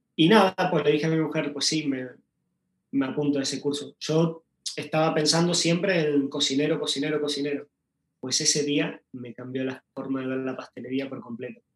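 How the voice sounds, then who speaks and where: An unremarkable speaking voice belongs to this man, who talks at a moderate pace with a fairly high pitch and fairly even intonation. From Uruguay. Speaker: pastry chef. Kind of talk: interview.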